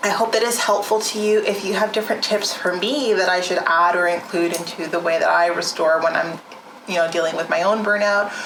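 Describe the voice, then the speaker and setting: Noticeable background noise and audible room echo surround a woman speaking at a fairly quick pace. Her pitch is medium and her intonation fairly even. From rural area. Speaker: wellness vlogger, nonprofit founder. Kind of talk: casual vlog monologue. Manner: casual, filler-heavy.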